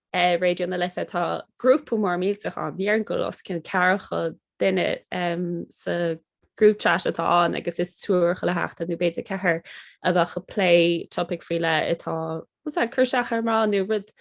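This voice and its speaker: A woman with a Connemara accent, in a dry, close sound with no echo. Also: moderate pace, quiet background. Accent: Connemara Irish. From Ireland, Connemara, Galway. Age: 30s. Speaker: podcaster and Irish-language content creator. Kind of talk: casual interview chat in Irish.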